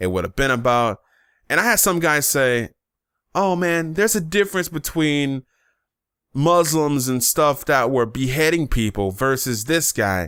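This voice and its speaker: A man speaks at a moderate pace and fairly high pitch, with lively intonation and a bright, sharp, animated tone. The recording is very clean with a silent background, dry and close with no echo. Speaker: YouTuber, vlogger. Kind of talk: casual commentary vlog. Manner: animated, emphatic.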